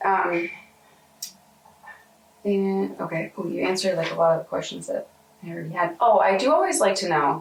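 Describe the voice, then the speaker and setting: A woman talks at a moderate pace with long, frequent pauses. Noticeable background noise runs behind her. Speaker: oral historian interviewer. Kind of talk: interview questions.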